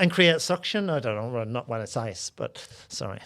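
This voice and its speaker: Here a man speaks with a Northern Irish accent at medium pitch and lively intonation. His tone is bright and sharp, on a very clean recording with a silent background. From Northern Ireland. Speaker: comedian. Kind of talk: casual chat. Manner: halting.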